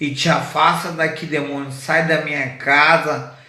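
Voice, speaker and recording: A man talks with audible room echo. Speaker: evangelist preacher. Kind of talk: sermon. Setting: radio broadcast from wheelchair.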